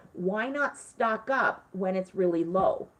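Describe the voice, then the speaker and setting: A woman speaks at a fairly high pitch with lively intonation and an animated tone. Noticeable background noise runs beneath her. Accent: Canadian. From Canada. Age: 40s. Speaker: frugal-living influencer, retired teacher. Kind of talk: casual livestream chat. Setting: live stream.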